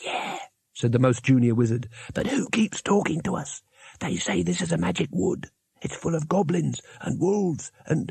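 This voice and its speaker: Putting on a character voice, a man speaks at a moderate pace in a fairly high pitch with very wide pitch swings. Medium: read story. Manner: nervous.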